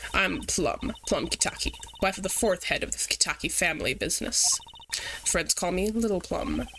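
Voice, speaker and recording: A husky, put-on character voice at a moderate pace, with long, frequent pauses and clear background noise. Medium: virtual streamer. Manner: curt, intimidating.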